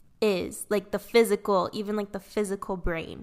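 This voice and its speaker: A woman with a plain, everyday voice, medium pitch, fairly even intonation and a fairly slow pace in a very clean recording with a silent background. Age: 20s. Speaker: podcast co-host. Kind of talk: casual chat.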